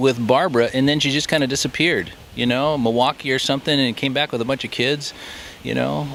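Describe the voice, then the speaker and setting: A man with a fairly high voice speaks while noticeable background noise carries on behind him. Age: 60s. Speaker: family member. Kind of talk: casual chat. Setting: outdoors.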